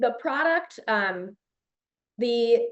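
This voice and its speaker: A woman talks with an American accent. Her pitch sits fairly high. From Chicago, US Midwest. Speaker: children's media entrepreneur, former teacher. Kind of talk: podcast interview. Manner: animated.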